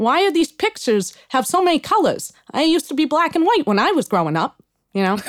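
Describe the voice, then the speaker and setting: In a put-on character voice with a Brooklyn accent, the speaker goes at a very fast pace, high-pitched and swinging very widely in pitch. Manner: complaining, grumbling.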